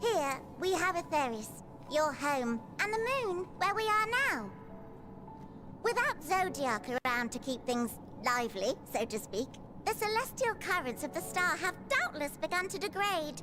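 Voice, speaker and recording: A put-on character voice, high-pitched and upbeat, goes at a moderate pace. Loud background noise fills the clip. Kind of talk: whimsical storybook voice. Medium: game stream. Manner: chatty, upbeat, slightly condescending.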